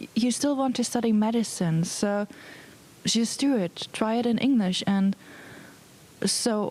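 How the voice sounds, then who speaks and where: A woman speaks with a non-native accent and ordinary pitch variation. There is noticeable background noise. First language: not English. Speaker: medical student. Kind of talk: interview answer. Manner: hesitant, with fillers.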